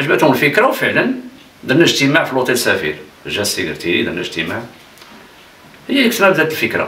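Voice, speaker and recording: A man talks at a very fast pace, broken by long, frequent pauses. Room echo is audible. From Morocco, Khemisset; Morocco. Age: 60s. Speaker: futsal pioneer and retired teacher; retired teacher. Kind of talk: interview. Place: home room.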